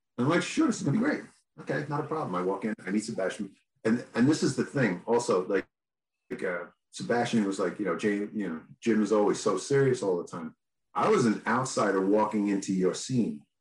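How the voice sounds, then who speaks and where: An ordinary speaking voice, a man with an American accent at a fairly quick pace, medium pitch and lively intonation. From New York. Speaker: band guitarist. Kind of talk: casual chat.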